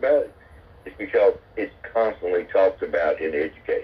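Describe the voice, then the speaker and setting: In an American accent, a man talks at a fairly quick pace with noticeable background noise. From US South. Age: 70s. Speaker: military veteran. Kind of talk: casual chat. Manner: halting, many repeated words.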